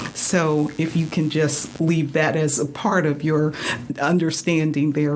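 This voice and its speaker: Over noticeable background noise, a woman with a very deep, low pitch and an American accent speaks at a fairly slow pace. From Florida, Miami. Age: 70s. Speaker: retired teacher. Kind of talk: radio interview. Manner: hesitant, many fillers.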